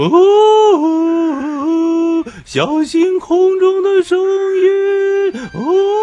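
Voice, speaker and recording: This is a put-on character voice at an extremely high pitch. It goes at a very slow pace. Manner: eerie, spooky.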